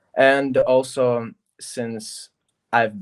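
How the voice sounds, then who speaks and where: The speaker is a man with a Russian accent. The sound is dry and close, without echo. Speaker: recording artist and producer. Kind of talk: casual interview chat. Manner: halting.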